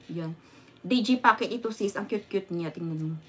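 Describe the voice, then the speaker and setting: A woman talks at a very fast pace. Her tone is animated. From Visayas, Philippines. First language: Visayan (speaking Tagalog). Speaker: vlogger. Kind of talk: casual livestream chat. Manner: animated, frequent laughter. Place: home room. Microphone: phone near.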